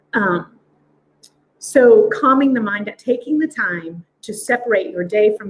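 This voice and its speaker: A woman with a somewhat breathy voice talks using ordinary pitch variation. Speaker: quantum biofeedback practitioner. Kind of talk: live stream demo talk. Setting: live video stream. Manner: fast.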